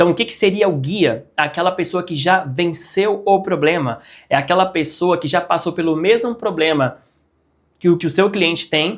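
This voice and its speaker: Ordinary pitch variation at a moderate pace on a very clean recording with a silent background. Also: man, high pitch for a man. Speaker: digital marketing YouTuber. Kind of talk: casual tutorial. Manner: animated.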